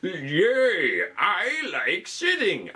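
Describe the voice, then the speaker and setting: This is a put-on character voice set at a fairly high pitch. Its pitch swings very widely. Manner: cheerful, pretending.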